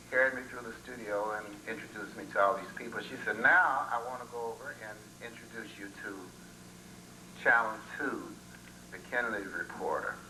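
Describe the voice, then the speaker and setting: A man speaks with long, frequent pauses and big swings in loudness. Audible room echo and noticeable background noise come through. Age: 60s. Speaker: retired singer speaking at a homecoming. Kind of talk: storytelling to a gathering. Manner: conversational, many fillers.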